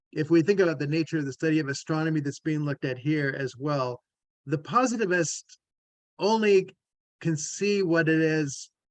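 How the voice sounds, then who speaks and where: Dry and close with no echo, this recording has a man speaking in a plain, everyday voice at a moderate pace. His pitch is fairly high, with ordinary pitch variation. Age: 60s. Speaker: theologian and family systems therapist. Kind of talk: discussion. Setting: video call.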